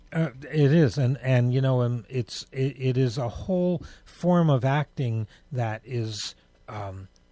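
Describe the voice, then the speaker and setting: On a very clean recording with a silent background, a somewhat breathy voice with a dark, mellow tone and ordinary pitch variation speaks with an American accent. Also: man. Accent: New York accent noticed by others. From New York. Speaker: radio show host. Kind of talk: casual interview chat. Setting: radio studio, live broadcast.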